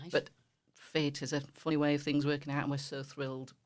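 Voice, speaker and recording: With a Yorkshire accent, a woman speaks at a very fast pace in a very deep, low pitch, her intonation monotone and flat. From northern England, West Yorkshire. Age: 50s. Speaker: charity volunteer coordinator. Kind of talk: radio interview.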